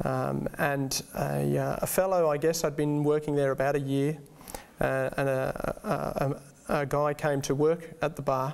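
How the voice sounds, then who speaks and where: A man talks at a fairly slow pace, his loudness very even. Noticeable background noise runs beneath him. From England, Birmingham. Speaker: guest sharing faith story. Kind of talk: testimony. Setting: studio. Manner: halting, many fillers.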